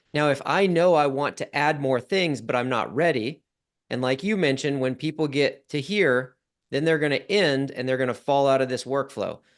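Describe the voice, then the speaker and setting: Against a quiet background, a man with a normal speaking voice talks at a fairly quick pace, his fairly high pitch showing ordinary variation. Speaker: software founder teaching automation. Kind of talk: live Q&A tutorial.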